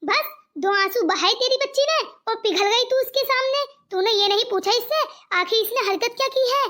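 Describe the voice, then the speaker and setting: A cartoonish character voice with ordinary pitch variation. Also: woman, extremely high pitch for a woman, moderate pace, very even loudness. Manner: harsh, scolding.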